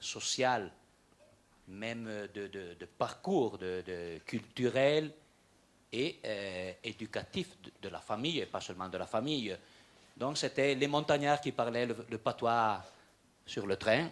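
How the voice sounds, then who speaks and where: A medium-pitched man with a Franco-Provençal region accent, at a fairly slow pace with long, frequent pauses. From Aosta Valley, Italy. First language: Franco-Provençal (speaking French). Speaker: regional politician. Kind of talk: panel discussion. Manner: halting, many repetitions.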